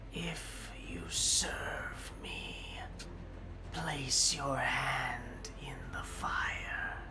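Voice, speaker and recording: Whispering in a put-on character voice, the speaker goes at a very slow pace over loud background noise. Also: man. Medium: actual play. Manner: commanding, imperious.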